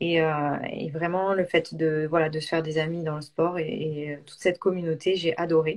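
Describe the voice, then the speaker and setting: This woman's pitch is fairly low, and her intonation is monotone and flat. She keeps a moderate pace. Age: 30s. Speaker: crossfit coach. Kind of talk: live stream interview. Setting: live online broadcast. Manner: hesitant, many fillers.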